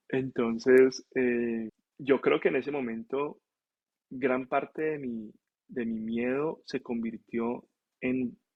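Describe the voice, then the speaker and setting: His voice sits at a medium pitch, and this man keeps his intonation fairly even. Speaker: physician (nephrologist). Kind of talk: casual interview storytelling.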